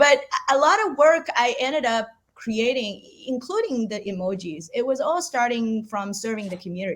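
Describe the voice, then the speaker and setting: With a Chinese accent, a high-pitched woman speaks at a moderate pace, her pitch swinging very widely. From China. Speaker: artist. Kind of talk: interview. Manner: halting, frequent repetitions.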